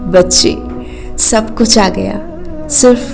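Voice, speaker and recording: A woman with a fairly high pitch is heard with music playing behind her. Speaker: storyteller. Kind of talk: emotional read story.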